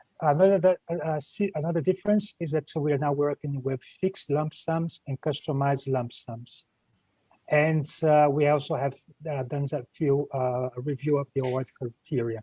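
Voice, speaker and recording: The voice has a dark, mellow tone, somewhat breathy, with a dry, close sound and no echo. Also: man, fairly high pitch for a man, ordinary pitch variation. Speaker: EU program officer presenting funding call. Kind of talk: online presentation. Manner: hesitant with many fillers and repetitions; fast.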